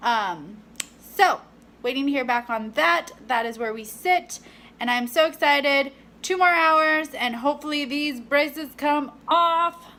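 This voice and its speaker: Speaking at a fairly slow pace in a raised, projected voice, a woman has a high pitch, a bright, sharp tone and lively intonation. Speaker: fitness vlogger and personal trainer. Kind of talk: casual vlog. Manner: chatty, filler-heavy.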